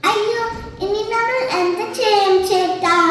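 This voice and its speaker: Using a put-on character voice, a woman squeaks at an extremely high pitch with fairly even intonation and strong echo. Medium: stage play.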